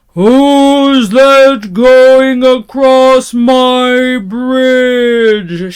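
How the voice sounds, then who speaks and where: Loud shouting at a fairly high pitch comes in a put-on character voice. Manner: shouting, menacing.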